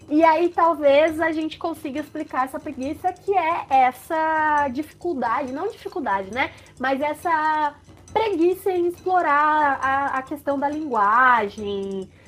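A high-pitched woman speaking at a fairly slow pace, with lively intonation and music in the background. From Brazil, Sorocaba (São Paulo state). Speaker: podcast co-host. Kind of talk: casual chat.

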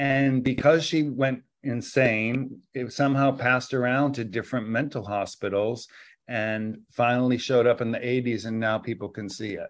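An unremarkable speaking voice belongs to a man with an American accent, medium pitch and fairly even intonation. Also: moderate pace. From US Northeast, Massachusetts. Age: 50s. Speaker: dancer and choreographer. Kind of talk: interview conversation.

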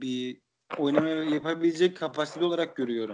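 A man talks at a fairly high pitch. The background is quiet. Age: 20s. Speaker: podcast host. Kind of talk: casual chat.

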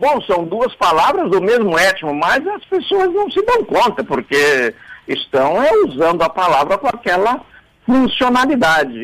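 A man talks at a fairly slow pace and a high pitch. His loudness stays very even while his pitch swings very widely. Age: 70s. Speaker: language professor and writer commenting on radio. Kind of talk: radio commentary on word origins. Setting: radio studio.

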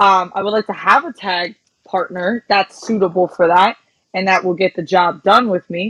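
A woman at a moderate pace. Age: 20s. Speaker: pro wrestler. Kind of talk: casual interview. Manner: hesitant, many fillers.

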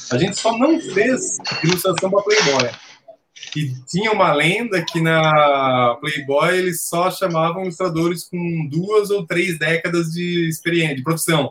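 Using ordinary pitch variation, a man talks at a moderate pace in a high voice. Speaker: comics illustrator. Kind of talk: casual chat.

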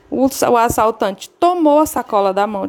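A woman talks at a fairly slow pace, her voice pitched fairly high. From Ceará, Brazil. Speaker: listener. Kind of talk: recorded voice message.

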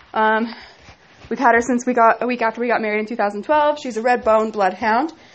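Intonation here is fairly even. The delivery moves at a fairly quick pace. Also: woman, fairly high pitch for a woman. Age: 20s. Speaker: podcaster. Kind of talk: personal monologue. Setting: at home. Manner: halting.

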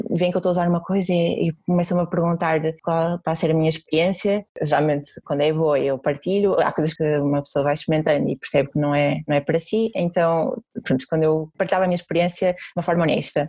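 A woman speaks very fast in a Porto accent, her tone dark and mellow. Her loudness stays very even and her intonation fairly even. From Porto, northern Portugal. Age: 20s. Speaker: sustainability blogger and YouTuber. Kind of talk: interview testimony.

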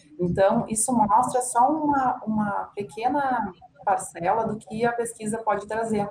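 A woman with a plain, everyday voice and a fairly high pitch speaks at a fairly slow pace with fairly even intonation. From São Leopoldo, Rio Grande do Sul, Brazil. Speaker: business administrator, retail researcher. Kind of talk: casual chat.

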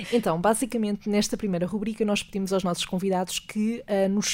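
A woman is speaking. Her intonation stays flat and monotone. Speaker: podcast host. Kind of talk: interview.

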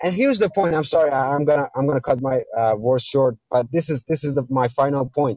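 A fairly high-pitched man with an American accent, a fairly quick pace and ordinary pitch variation. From Iran. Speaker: caller. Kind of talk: debate. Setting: call-in to livestream. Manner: halting.

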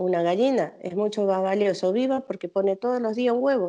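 A woman's medium-pitched voice, a normal speaking voice, with ordinary pitch variation and a moderate pace. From Argentina, Misiones. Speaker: chef. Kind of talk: interview.

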